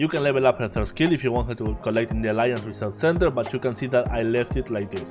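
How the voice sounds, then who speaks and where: A man at a medium pitch, lively in intonation and very fast, with music in the background. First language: Spanish. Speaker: game content creator. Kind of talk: game guide narration.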